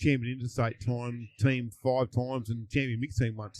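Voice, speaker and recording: In a dry, close sound with no echo, a man talks with an Australian accent. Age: 60s. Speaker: fishing tournament champion. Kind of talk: casual chat. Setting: live at a fishing tournament.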